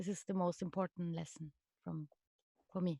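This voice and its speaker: In a very clean recording with a silent background, a woman speaks at a medium pitch with a dark, mellow tone and fairly even intonation, the sound dry and close with no echo. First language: French. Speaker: stage artist. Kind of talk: casual chat. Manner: halting.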